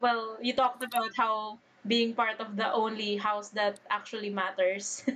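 Against noticeable background noise, a woman with a fairly high pitch speaks in a monotone, flat intonation. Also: moderate pace. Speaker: podcast host. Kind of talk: casual chat, nerdy banter.

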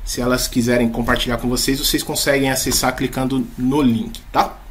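With noticeable background noise and audible room echo, a man talks at a moderate pace in a fairly high pitch. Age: 30s. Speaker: leadership coach. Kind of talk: talk to school staff.

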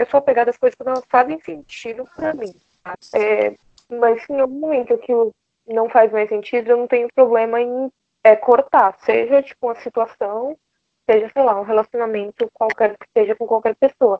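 A woman with a normal speaking voice speaks at a moderate pace in a fairly high pitch, her pitch varying in an ordinary way while her loudness swings widely. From Brazil, Bahia (Salvador). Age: 20s. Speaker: advertising professional. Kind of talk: casual chat. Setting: video call.

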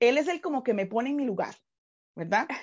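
A woman with a Costa Rican accent at a fairly quick pace and a high pitch. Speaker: pastor. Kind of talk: casual chat.

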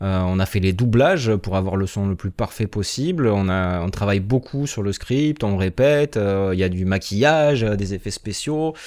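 Barely pausing, a man with a fairly low voice speaks with lively intonation. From southwest France (Béarn). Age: 30s. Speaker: former teacher turned video producer. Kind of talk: interview. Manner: hesitant, many fillers and repetitions.

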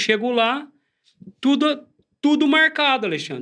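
A man at an extremely high pitch, fairly slow in pace, with ordinary pitch variation. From São Paulo state interior (Ribeirão Preto region). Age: 40s. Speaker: church member sharing conversion story. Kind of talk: testimony.

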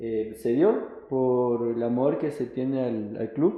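Medium-pitched male speech with fairly even intonation. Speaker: businessman and football club president. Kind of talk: interview. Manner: hesitant, many fillers.

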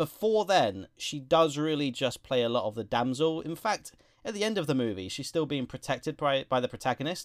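Recorded dry and close with no echo against a silent background, a man with an English accent talks fairly quickly at a fairly high pitch. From England. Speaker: film review podcast co-host. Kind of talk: casual chat.

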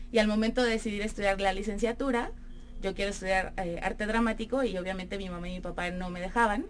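A woman with a medium-pitched voice talks at a very fast pace with fairly even intonation, with audible room echo. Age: 30s. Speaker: actress and theatre producer. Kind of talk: radio interview. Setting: radio studio.

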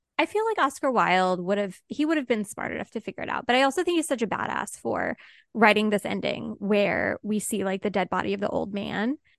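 With vocal fry and lively intonation, the speaker talks at a fairly quick pace with hardly any pauses, in a dry, close sound with no echo. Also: woman, medium pitch for a woman. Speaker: podcast co-host. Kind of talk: casual chat. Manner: animated.

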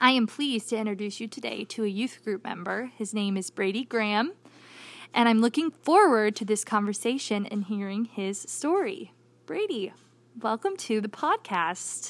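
In a very clean recording with a silent background, a woman with an unremarkable speaking voice talks at a moderate pace and a fairly high pitch, with ordinary pitch variation. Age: 20s. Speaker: church youth director. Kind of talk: interview.

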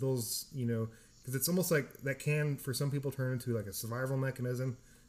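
With an American accent, a man speaks at a medium pitch and a fairly quick pace in fairly even intonation. It is a normal speaking voice, on a very clean recording with a silent background. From California. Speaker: podcast host, military veteran. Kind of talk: casual chat.

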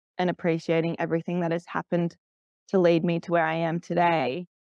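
With an Australian accent, a woman talks at a moderate pace in a fairly low pitch, recorded dry and close with no echo against a quiet background. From Australia, Canberra. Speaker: event rider and riding coach. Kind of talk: interview. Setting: remote call.

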